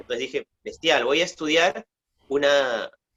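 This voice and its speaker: A man with a Peruvian accent, fairly high pitch, and a moderate pace. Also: dry, close sound with no echo. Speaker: oral storyteller and writer. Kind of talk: interview answer.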